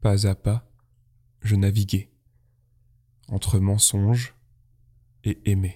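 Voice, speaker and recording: Very slow, monotone and flat speech from a man, fairly low in pitch, somewhat breathy and dark and mellow in tone, with long, frequent pauses in a dry, close sound with no echo. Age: 20s. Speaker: podcast host and poet. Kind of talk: poetry reading.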